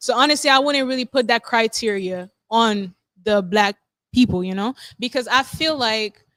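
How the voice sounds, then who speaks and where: With ordinary pitch variation, a woman talks at a moderate pace in a fairly high pitch. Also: dry, close sound with no echo. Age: 20s. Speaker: podcast guest. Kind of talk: casual debate. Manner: loud; animated.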